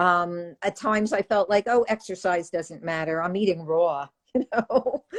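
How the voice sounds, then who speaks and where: Here is a woman with an ordinary speaking voice, medium pitch and lively intonation at a moderate pace. The sound is dry and close, without echo. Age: 60s. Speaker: raw vegan author. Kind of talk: casual chat.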